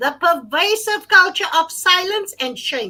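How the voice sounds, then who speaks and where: A bright, sharp tone rings out from a raised, projected voice. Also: woman. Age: 50s. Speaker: gender-based violence advocate. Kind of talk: panel discussion.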